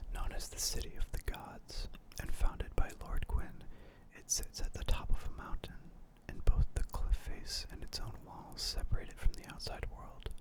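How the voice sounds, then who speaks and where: A man whispering at a moderate pace, with big swings in loudness. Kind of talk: whispered lore reading for sleep / ASMR.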